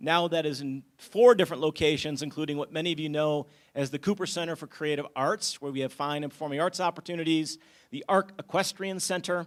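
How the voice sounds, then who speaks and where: A man's fairly high voice at a fairly quick pace, with ordinary pitch variation, on a very clean recording against a silent background. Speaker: nonprofit CEO. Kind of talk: short public presentation. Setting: community meeting with audience. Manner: loud.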